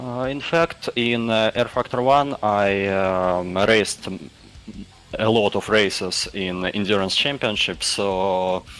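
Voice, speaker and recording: Speaking very slowly, a man with a non-native accent has a fairly low pitch and ordinary pitch variation. Noticeable background noise runs underneath. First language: Russian. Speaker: sim racing driver. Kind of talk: post-race interview. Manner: halting.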